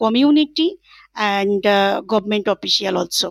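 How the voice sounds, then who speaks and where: With a Bengali accent, a woman speaks at a moderate pace with lively intonation. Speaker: NGO project coordinator. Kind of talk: panel discussion. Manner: halting, many fillers.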